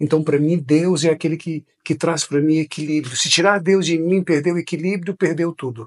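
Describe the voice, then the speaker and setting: A man speaks in an unremarkable speaking voice. His pitch is fairly high and his pace moderate. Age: 50s. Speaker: pastor. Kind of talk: interview.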